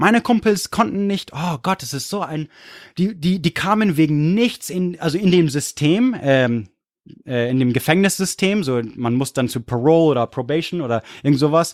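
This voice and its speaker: With an English accent, a man with a fairly high pitch speaks in an animated tone and lively intonation. The recording is very clean with a silent background. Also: moderate pace. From California and Munich, Germany. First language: English (speaking German). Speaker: history podcaster. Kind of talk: casual chat.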